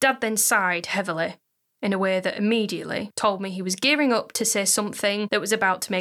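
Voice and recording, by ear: Reading aloud in a natural voice, with fairly even intonation and a quiet background.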